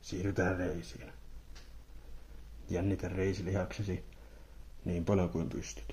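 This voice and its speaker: A soft-spoken man with a very deep, low pitch and a dark, mellow, calm tone talks at a very slow pace with vocal fry, ordinary pitch variation, and long, frequent pauses. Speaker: ASMR creator. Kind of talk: ASMR relaxation guide, guided body relaxation. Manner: soft-spoken, calm, slow.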